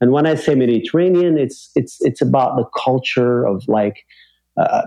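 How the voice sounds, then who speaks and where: At a moderate pace, a man with an ordinary speaking voice talks at medium pitch with ordinary pitch variation. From Algeria, then Montreal, Canada. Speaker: international banker. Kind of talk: casual interview.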